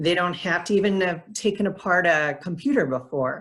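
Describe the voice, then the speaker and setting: In a very clean recording with a silent background, a woman speaks in a somewhat breathy voice at a fairly low pitch. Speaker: nonprofit program director. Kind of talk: presentation.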